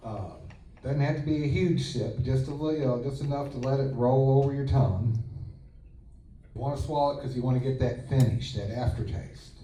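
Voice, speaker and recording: A medium-pitched male voice at a fairly quick pace, fairly even in intonation, with audible room echo. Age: 60s. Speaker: whiskey blogger and tasting panel host. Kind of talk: guided tasting panel. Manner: casual, relaxed.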